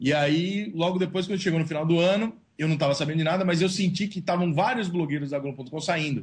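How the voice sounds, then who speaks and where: Speech comes at a very fast pace with hardly any pauses. The pitch variation is ordinary. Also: man, high pitch for a man. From São Paulo, Brazil. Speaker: sports blogger and journalist. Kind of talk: interview. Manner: casual, slangy.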